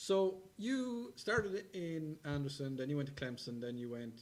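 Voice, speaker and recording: With an Irish accent, this man talks at a moderate pace in a fairly high pitch with lively intonation. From Ireland. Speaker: TV variety show host. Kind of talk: casual interview.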